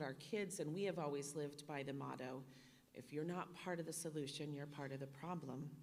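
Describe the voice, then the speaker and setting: A woman speaks with a very deep, low pitch and fairly even intonation. Audible room echo fills the recording. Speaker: donor speaking at a charity dinner. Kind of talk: speech at a fundraising dinner. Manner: loud.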